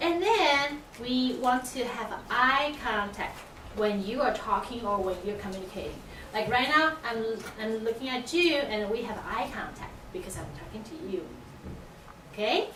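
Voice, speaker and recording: A woman with a non-native accent speaks at a high pitch with lively intonation. Noticeable background noise and audible room echo surround her. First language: not English. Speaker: teacher. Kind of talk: classroom teaching. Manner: halting.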